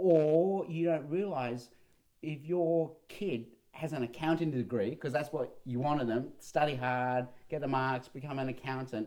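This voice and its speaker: Delivered at a moderate pace with ordinary pitch variation, the voice is dark and mellow in an Australian accent. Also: man. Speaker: pastor and sociologist podcast co-host. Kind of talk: casual chat.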